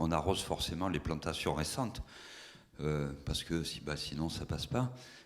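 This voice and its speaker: This man has a very deep, low voice and lively intonation. He keeps a moderate pace. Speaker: municipal green spaces manager. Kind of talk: conference talk. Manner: loud.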